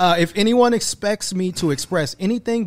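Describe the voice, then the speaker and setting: A man with an unremarkable speaking voice talks at a fairly quick pace with lively intonation. The background is quiet. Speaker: podcast host and media company founder. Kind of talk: casual interview chat. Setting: studio. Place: studio. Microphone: studio mic.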